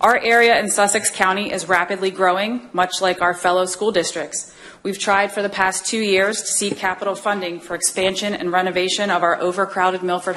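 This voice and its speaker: A woman talks at a moderate pace in a monotone with flat intonation. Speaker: school district official giving public comment. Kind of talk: prepared public comment statement. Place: hall. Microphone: podium.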